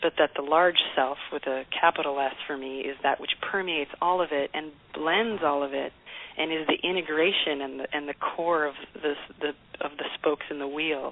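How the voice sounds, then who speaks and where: Fairly even intonation and a moderate pace come through against noticeable background noise. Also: woman, very deep, low pitch for a woman. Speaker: singer-songwriter. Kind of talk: radio interview answer.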